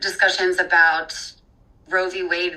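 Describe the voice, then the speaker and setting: The pace is moderate. Intonation is monotone and flat. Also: woman. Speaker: doctoral student and music researcher. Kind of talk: interview. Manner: many filler words, um and like.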